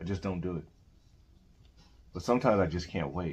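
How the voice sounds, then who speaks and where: The man's voice is very deep and low, and somewhat breathy. He speaks at a fairly quick pace with ordinary pitch variation. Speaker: video collector podcast host. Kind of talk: casual chat.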